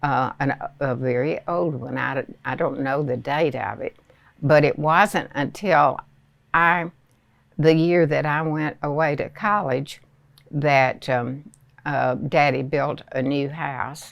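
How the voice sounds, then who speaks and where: In an American accent, a woman speaks at a very slow pace with a very deep, low pitch. The recording is very clean, with a silent background. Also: ordinary pitch variation. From Southern United States. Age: 80s+. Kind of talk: interview answer. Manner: slow, hesitant.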